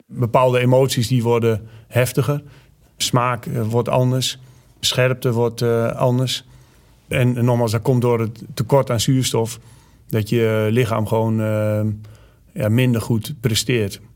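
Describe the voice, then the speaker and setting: Flat and monotone, a man with a medium pitch talks at a very slow pace. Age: 40s. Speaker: army commando instructor. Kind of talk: interview. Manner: hesitant, many filler sounds.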